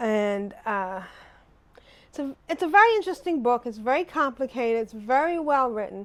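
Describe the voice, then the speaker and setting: A woman speaks in a high voice with lively intonation. The recording is very clean, with a silent background. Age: 60s. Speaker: vlogger, retiree. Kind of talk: casual monologue vlog. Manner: rambling, halting with fillers.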